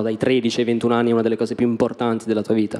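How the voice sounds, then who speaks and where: Speaking in a medium pitch, a man rattles along at a very fast pace. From Italy. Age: 20s. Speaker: stand-up comedian. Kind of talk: stand-up. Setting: stage with audience. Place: stage. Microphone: handheld.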